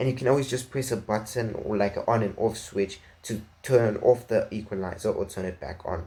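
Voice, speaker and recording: His tone is dark and mellow, with a somewhat breathy quality. The man talks at a fairly quick pace. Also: medium pitch for a man, ordinary pitch variation. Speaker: tech reviewer. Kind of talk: product review. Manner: fast; halting.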